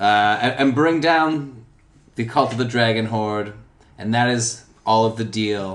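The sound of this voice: An unforced reading voice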